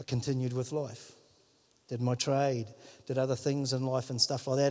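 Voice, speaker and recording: A man with a New Zealand accent and a dark, mellow tone. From New Zealand, Whangarei. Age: 50s. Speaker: pastor. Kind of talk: sermon. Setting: church. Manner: animated.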